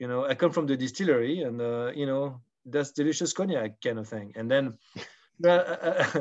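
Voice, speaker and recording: Against a quiet background, a man with a French accent talks at a moderate pace. His voice is fairly high, with ordinary pitch variation. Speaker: spirits brand ambassador. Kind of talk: casual interview. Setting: video call.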